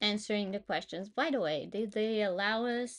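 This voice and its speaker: A woman speaks with a Portuguese accent. Her pitch sits at a medium level with ordinary variation. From Portugal. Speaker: freelancer streamer. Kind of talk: live stream, casual thinking aloud while working. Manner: loud.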